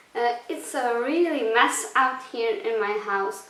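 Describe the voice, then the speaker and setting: Someone speaks at a fairly slow pace with a Belgian accent over noticeable background noise. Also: woman. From Belgium. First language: not English. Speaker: cleaning vlogger. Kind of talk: casual talk to camera.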